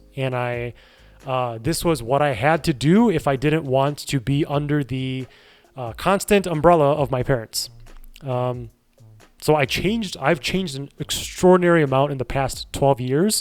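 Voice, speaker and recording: Music plays in the background. The speaker has an American accent, a moderate pace and ordinary pitch variation. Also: man. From Chicago suburbs, US Midwest. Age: 30s. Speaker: streamer. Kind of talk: casual chat. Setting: live stream.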